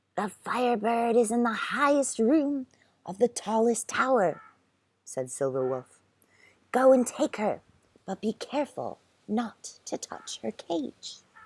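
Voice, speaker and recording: A put-on character voice, female-sounding and raspy, fairly high in pitch, at a fairly slow pace with long, frequent pauses, on a very clean recording with a silent background. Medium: read story. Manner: calm, instructive.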